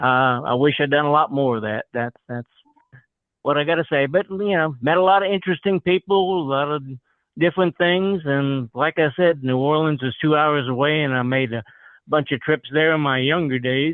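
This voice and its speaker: Here a man with a slight Southern US accent talks at a moderate pace and fairly high pitch, with ordinary pitch variation. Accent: slight Southern accent, picked up over years. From New Jersey (Cranford). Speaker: retired accountant and attorney. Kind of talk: casual chat.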